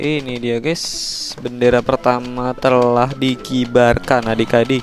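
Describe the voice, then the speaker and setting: Over music in the background, a man speaks very slowly at a medium pitch in a monotone, flat intonation. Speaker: gaming YouTuber. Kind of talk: gameplay commentary. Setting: at home.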